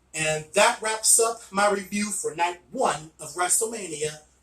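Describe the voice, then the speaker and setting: Music plays behind a man whose pitch sits high. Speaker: wrestling video reviewer. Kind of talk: casual video review monologue.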